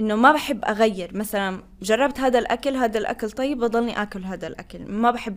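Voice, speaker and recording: A normal speaking voice from a woman, fairly high in pitch, with ordinary pitch variation and a fairly slow pace. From Tunisia, Tozeur; also lived in Qatar. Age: 20s. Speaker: international student office staff and graduate student. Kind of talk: interview conversation.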